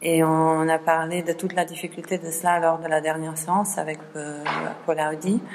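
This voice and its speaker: Over light background noise, a woman speaks fairly slowly at a fairly low pitch, with monotone, flat intonation. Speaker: seminar organizer. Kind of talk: seminar introduction. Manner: halting. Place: classroom.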